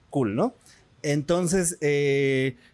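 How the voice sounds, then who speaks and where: This is a man talking. He speaks with a Mexican accent. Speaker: podcast host. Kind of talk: casual interview.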